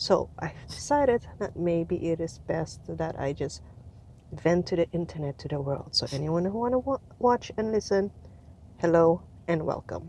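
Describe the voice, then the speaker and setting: A woman with a fairly low, dark, mellow voice speaks at a moderate pace with lively intonation. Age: 30s. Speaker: vlogger. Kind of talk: casual monologue. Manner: casual, filler-heavy. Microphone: phone with headset mic.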